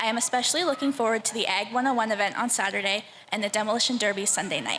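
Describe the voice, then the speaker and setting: At a very fast pace, a woman speaks at a fairly high pitch with ordinary pitch variation and very even loudness. Noticeable background noise can be heard. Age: 20s. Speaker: fair ambassador contestant. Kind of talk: prepared speech.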